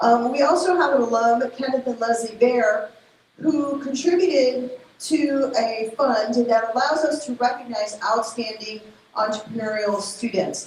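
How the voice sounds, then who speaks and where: The pitch moves in an ordinary way while noticeable background noise runs underneath. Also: woman, high pitch for a woman, fairly slow pace. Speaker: university entrepreneurship program staff. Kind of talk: event speech. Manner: hesitant, many fillers.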